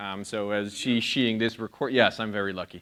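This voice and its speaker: An American accent at a moderate pace against a quiet background. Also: man. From outside the US. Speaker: conference speaker. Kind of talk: conference talk. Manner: loud. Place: stage. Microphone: handheld.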